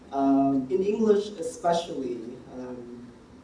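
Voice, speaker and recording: An American accent comes through over noticeable background noise. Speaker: embassy official giving feedback. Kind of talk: feedback talk to students. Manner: deliberately slowed pace.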